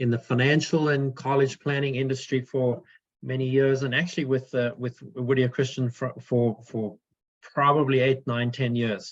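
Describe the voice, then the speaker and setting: A man with a South African accent speaks in a monotone, flat intonation. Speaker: financial advisor. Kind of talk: webinar presentation. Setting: video call webinar. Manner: hesitant, many fillers.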